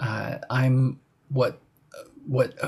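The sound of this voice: Vocal fry runs through a slightly mellow tone at a very slow pace. There is little pitch movement.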